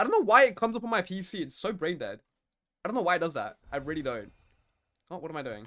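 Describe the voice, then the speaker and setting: A high-pitched man talks at a very fast pace in an animated, bright, sharp tone, with very wide pitch swings and big swings in loudness. Long pauses come often. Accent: London. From UK. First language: Turkish. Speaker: gaming streamer. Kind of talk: live gameplay stream chat. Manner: casual, animated.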